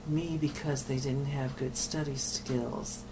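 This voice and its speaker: Noticeable background noise and audible room echo behind a very slow delivery. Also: woman. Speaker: nun and addiction counselor. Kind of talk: oral history interview. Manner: halting.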